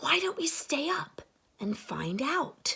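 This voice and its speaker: A woman performs a put-on character voice at a high pitch. Her pitch swings very widely, and her pace is fairly slow. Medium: read story.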